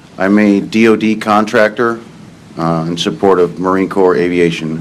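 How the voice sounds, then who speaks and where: In an American accent, a man with a very deep, low pitch and ordinary pitch variation speaks at a moderate pace, with audible room echo. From Iowa, Cedar Rapids area. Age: 60s. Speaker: witness, retired Navy. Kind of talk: court testimony. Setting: courtroom.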